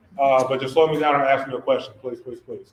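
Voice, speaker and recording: A man is speaking. He has a Southern US accent. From US South. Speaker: cannabis testing lab founder, engineer. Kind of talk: presentation to an audience. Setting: community center event with audience. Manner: fast.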